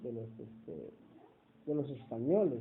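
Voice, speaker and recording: A man talks fairly slowly, and the room around him gives off audible echo. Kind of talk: interview. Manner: hesitant, many fillers.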